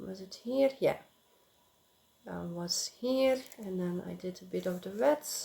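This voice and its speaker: At a very slow pace, a woman with a non-native accent speaks in a medium pitch and a dark, mellow tone, her intonation lively. Her loudness swings widely, and she pauses long and often. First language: not English. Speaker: crafting vlogger. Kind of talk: casual chat. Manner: halting, many filler sounds.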